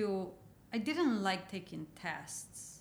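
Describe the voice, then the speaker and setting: In a Mexican accent, a woman talks at a fairly slow pace with lively intonation, and audible room echo surrounds her. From Mexico. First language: Spanish. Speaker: painter. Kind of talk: interview.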